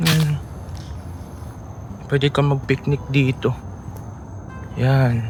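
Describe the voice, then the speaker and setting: Over music in the background, a man speaks at a medium pitch and a very slow pace. He leaves long, frequent pauses. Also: ordinary pitch variation. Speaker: travel vlogger. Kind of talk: vlog narration. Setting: outdoors. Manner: soft-spoken.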